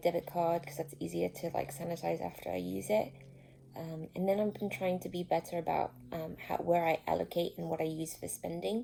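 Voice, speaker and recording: This woman talks at a fairly quick pace. She has an Australian accent. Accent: Australian-sounding. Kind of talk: casual talk to camera.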